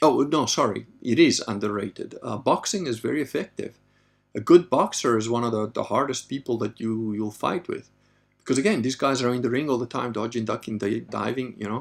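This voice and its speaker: A man with a normal speaking voice talks at a medium pitch and moderate pace, with ordinary pitch variation. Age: 50s. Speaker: livestream host and author. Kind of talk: live Q&A stream reading chat questions. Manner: casual, conversational.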